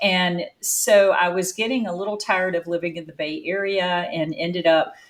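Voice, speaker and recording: A woman speaks with a North Carolina accent. Her pitch sits in the medium range. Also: moderate pace. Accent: Southern, North Carolina. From North Carolina, US South. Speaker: business founder and CEO. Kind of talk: interview conversation.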